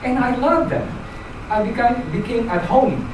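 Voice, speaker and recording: Someone speaks at a moderate pace with a Filipino accent. Noticeable background noise and audible room echo surround the voice. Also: woman. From Philippines. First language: Filipino language. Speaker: club member giving speech. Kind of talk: prepared speech. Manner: halting.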